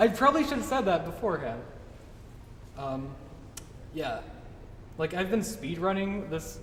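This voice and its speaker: A man speaks at a high pitch with very wide pitch swings. Noticeable background noise and audible room echo fill the recording. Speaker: game developer giving a talk. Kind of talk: tutorial talk at a meetup. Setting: meetup with live audience. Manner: fast; casual, many fillers.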